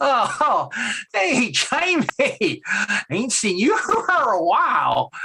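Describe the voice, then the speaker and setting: This man uses a put-on character voice that is raspy and extremely high in pitch. He speaks at a very slow pace. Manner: casual, friendly greeting.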